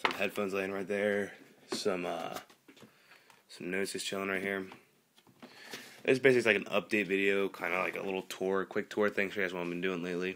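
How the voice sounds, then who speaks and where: A man talks at a fairly quick pace in a fairly low, flat monotone over light background noise. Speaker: home vlogger. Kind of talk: casual vlog chat. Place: home room. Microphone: phone near.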